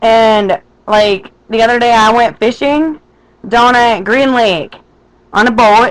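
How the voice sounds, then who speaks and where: A woman speaks in a Minnesotan accent at a fairly high pitch, at a fairly slow pace with ordinary pitch variation. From Minnesota, west central. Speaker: vlogger. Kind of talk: casual vlog monologue. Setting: webcam recording. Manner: animated.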